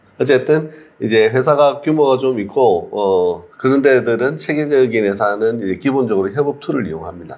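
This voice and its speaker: Moving at a moderate pace, a man speaks at a medium pitch with very wide pitch swings. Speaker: CEO of a digital marketing community. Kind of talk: mentoring talk to a job seeker.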